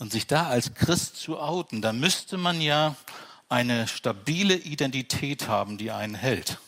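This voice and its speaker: An unremarkable speaking voice from a man, medium in pitch, fairly slow, with lively intonation. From Franconia, Bavaria. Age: 50s. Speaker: pastor. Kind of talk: sermon. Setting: church with congregation.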